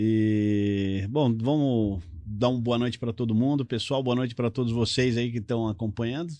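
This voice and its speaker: A man with a medium pitch and a dark, mellow tone talks at a moderate pace with hardly any pauses. His loudness stays very even and his intonation fairly even. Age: 60s. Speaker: politician, retired military police officer. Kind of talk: live talk show interview.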